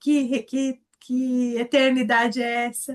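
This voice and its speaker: A woman talks with a high pitch. Her intonation is monotone and flat. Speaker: Bible study teacher. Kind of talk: Bible study lesson.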